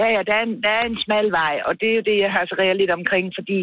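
A woman with a fairly high pitch and a normal speaking voice talks at a fairly quick pace. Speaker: former local councillor. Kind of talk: phone interview.

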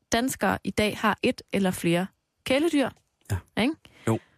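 A woman talking at a very slow pace on a very clean recording with a silent background. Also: dry, close sound with no echo. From Denmark, Aarhus. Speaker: radio host. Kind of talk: casual chat.

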